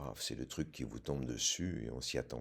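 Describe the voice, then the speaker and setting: A man's very deep, low voice with vocal fry. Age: 60s. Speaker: prostate cancer patient. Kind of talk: testimony. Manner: hesitant, many filler sounds.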